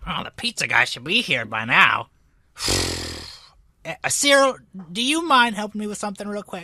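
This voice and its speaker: A put-on character voice at a fairly high pitch moves at a moderate pace on a very clean recording with a silent background. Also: female-sounding voice. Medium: actual play. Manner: rambling, keeps pausing with 'you see'.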